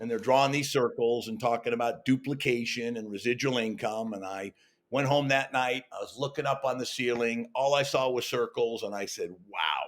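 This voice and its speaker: At a moderate pace and with hardly any pauses, a man with an American accent and a normal speaking voice talks in a medium pitch with fairly even intonation. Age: 60s. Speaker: network marketing entrepreneur. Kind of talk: interview. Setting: video call.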